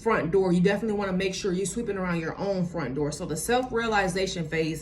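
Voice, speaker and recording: A woman at medium pitch with ordinary pitch variation, in audible room echo and noticeable background noise. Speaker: motivational vlogger. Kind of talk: motivational talk to camera. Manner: casual, many fillers.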